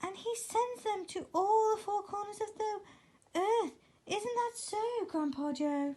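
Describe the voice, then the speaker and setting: This put-on character voice is squeaky, with lively intonation and a fairly slow pace. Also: woman, extremely high pitch for a woman. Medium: read story.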